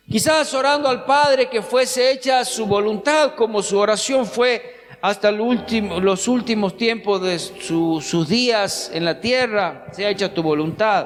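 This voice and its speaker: There is noticeable background noise as a man with a high pitch speaks at a fairly slow pace. His pitch varies in an ordinary way and he leaves hardly any pauses. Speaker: pastor. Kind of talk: sermon.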